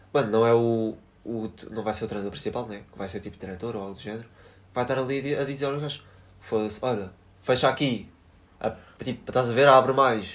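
Delivered at a fairly quick pace with fairly even intonation, the speech has big swings in loudness and long, frequent pauses. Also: man, medium pitch for a man. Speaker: podcast co-host. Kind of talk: casual chat. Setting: recording together with a single recorder.

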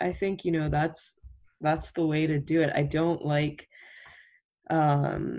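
A slightly mellow tone at a slow pace, with little pitch movement.

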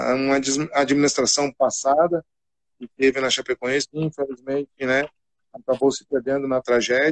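A man with a fairly high pitch speaks in a monotone, flat intonation, leaving long, frequent pauses. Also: moderate pace. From Rio Grande do Sul, Brazil (Cachoeira do Sul). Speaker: football coach. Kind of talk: casual interview.

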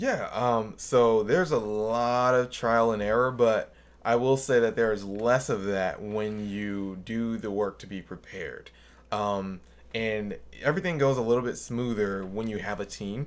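An unremarkable speaking voice with an American accent moves at a fairly slow pace, using ordinary pitch variation. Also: man, medium pitch for a man. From Milwaukee, Wisconsin. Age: 30s. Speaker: filmmaker and graphic designer. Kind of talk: casual chat.

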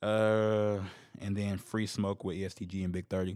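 The pace is moderate. A man's voice sits at a fairly low pitch. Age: 20s. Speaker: podcast host. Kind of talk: solo casual commentary. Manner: animated.

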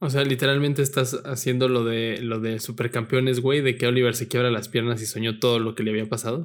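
A man with a State of Mexico accent talks very fast at a medium pitch, monotone and flat, with hardly any pauses. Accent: Estado de México. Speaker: podcast host. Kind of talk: casual chat.

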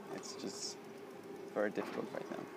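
A man talks against noticeable background noise. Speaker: podcaster. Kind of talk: casual solo podcast monologue. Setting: outdoors at a train station. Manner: rambling, halting, with many fillers.

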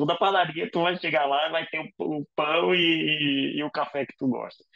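A man's fairly high-pitched voice, an ordinary speaking voice, with ordinary pitch variation. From Brazil, Paraíba. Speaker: intensive care doctor. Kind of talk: interview.

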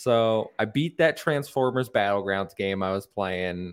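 Using a plain, everyday voice, a man speaks at a moderate pace with a fairly low pitch and ordinary pitch variation. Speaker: podcast host. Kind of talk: casual chat. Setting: live-streamed podcast.

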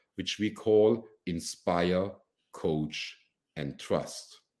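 Very slow male speech in a dark, mellow tone. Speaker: podcast host, former CEO. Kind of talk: interview. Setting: video call.

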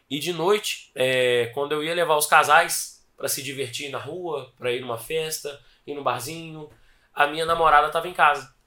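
A man's fairly high, bright and sharp voice with fairly even intonation. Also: moderate pace. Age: 20s. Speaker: gym franchise owner. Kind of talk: interview.

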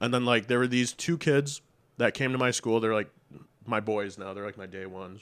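Talking at a fairly quick pace with a Western New York accent, a man shows ordinary pitch variation and big swings in loudness on a very clean recording with a silent background. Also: medium pitch for a man. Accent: Western New York American. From Buffalo, New York area. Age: 20s. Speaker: music producer. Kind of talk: casual chat.

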